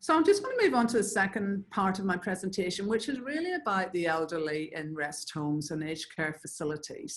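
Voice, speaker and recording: A woman talks at a moderate pace with an Irish accent. Her voice is fairly low, with ordinary pitch variation. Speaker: infection prevention presenter. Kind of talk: webinar presentation. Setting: online webinar.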